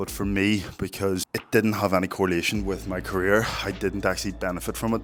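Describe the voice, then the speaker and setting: With a Northern Irish accent, a man with a very deep, low pitch talks at a fairly quick pace and lively intonation, amid noticeable background noise. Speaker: fitness content creator. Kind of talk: vlog monologue.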